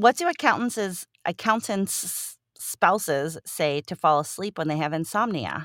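A woman speaks fairly slowly in a fairly low voice with lively intonation. The recording is very clean and silent behind her, dry and close with no echo. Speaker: podcast host. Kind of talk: casual news roundup.

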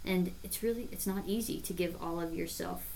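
In an American accent, a woman speaks at a moderate pace and fairly low pitch. Audible room echo surrounds her voice. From Nebraska, US Midwest. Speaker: religious sister and teacher. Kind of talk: casual podcast chat.

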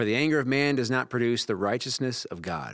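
Speaking at a fairly quick pace, a man uses a normal speaking voice at a medium pitch with ordinary pitch variation. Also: very clean recording, silent background. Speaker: campus pastor. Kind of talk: casual interview chat about a sermon.

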